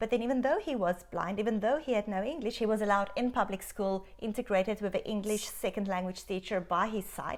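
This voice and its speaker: With a South African accent, a woman races along at a very fast pace in a fairly high voice, with hardly any pauses. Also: ordinary pitch variation. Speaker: doctor. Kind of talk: interview. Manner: animated.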